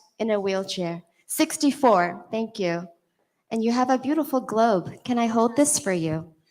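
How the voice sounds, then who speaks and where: Lively intonation and a fairly high pitch come from a woman using an ordinary speaking voice at a moderate pace. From California. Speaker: awards show presenter. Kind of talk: awards ceremony presenting.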